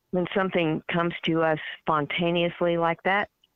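A woman's plain, everyday voice at a fairly low pitch and moderate pace. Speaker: licensed counselor and play therapist. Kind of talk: radio interview.

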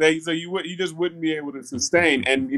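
Ordinary pitch variation from a man with an American accent. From US South. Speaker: tech entrepreneur and inventor. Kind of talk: casual interview. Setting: video call. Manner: energetic.

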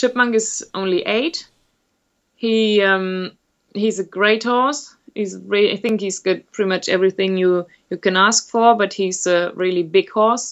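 Speaking in a German accent, a woman talks at a fairly slow pace. Her pitch is medium, with ordinary pitch variation. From Germany. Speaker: event rider. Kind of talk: interview. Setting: remote call. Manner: hesitant.

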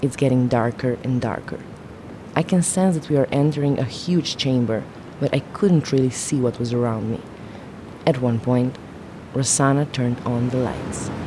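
Long, frequent pauses break up a woman's moderate pace, her very deep, low pitch showing ordinary variation over noticeable background noise. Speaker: reporter narrating story. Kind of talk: scripted narration.

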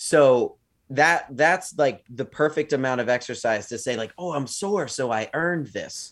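In a very clean recording with a silent background, a man with a normal speaking voice talks at a fairly slow pace, fairly high in pitch, with ordinary pitch variation. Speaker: podcast co-host. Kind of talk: casual banter between co-hosts. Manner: easygoing, laughs often.

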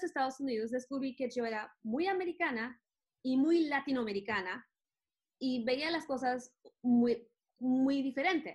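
A woman speaks at a high pitch, with ordinary pitch variation. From Venezuela and the US (born in Venezuela to an American mother). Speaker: entrepreneur and children's author-illustrator. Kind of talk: interview.

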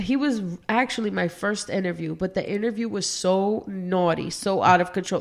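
A woman with a plain, everyday voice speaks at medium pitch and a moderate pace. Her pitch variation is ordinary. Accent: American. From Brooklyn, New York. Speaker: podcast host. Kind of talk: casual interview chat.

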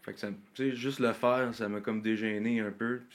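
In a fairly low register, this man delivers every line with a monotone, flat intonation. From Quebec, South Shore of Montreal. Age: 20s. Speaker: country singer. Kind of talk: casual interview.

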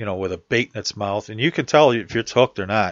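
This is an ordinary speaking voice at a moderate pace. The intonation stays fairly even. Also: man. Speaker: fishing radio host. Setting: local radio station broadcast. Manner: relaxed, folksy and conversational, with a friendly live-radio lilt and easy pacing.

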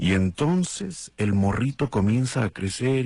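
This man delivers his words at a fairly slow pace. Behind him, the background stays quiet. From Mexico, Guadalajara, Jalisco. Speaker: radio host. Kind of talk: casual morning show monologue. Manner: animated.

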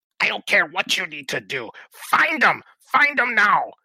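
Shouting in a put-on character voice, a man hits an extremely high pitch at a moderate pace. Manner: shouting, commanding.

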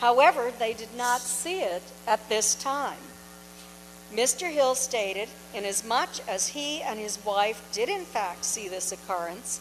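Over noticeable background noise, a woman with an American accent speaks at a fairly high pitch with lively intonation. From New Hampshire, US. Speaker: author and UFO researcher. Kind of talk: lecture. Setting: stage with audience.

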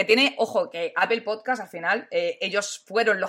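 Her intonation is lively, and this woman keeps a moderate pace. The background is silent and the recording very clean. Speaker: tech youtuber and streamer. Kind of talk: casual live-stream interview. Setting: live stream. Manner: animated, loud at times.

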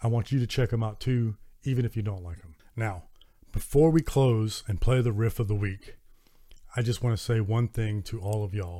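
A somewhat breathy man with a Southern US accent, medium pitch, ordinary pitch variation and a moderate pace. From US South. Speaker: metal podcast host and reviewer. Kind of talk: solo podcast monologue, album review.

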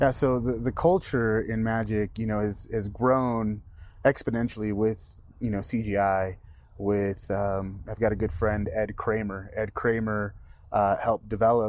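This man's voice is a plain, everyday voice, medium in pitch with fairly even intonation. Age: 30s. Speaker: magician. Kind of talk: casual chat.

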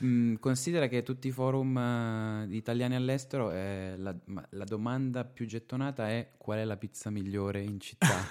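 In an unremarkable speaking voice, a man talks at medium pitch and a moderate pace, with ordinary pitch variation. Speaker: stand-up comedian. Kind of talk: casual chat. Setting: at the host's home.

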